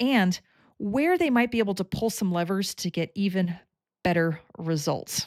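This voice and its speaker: A woman speaks at medium pitch and a moderate pace, with ordinary pitch variation and a normal speaking voice. The recording is very clean, with a silent background. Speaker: coach who analyzes people's talents. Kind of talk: direct-to-camera explainer.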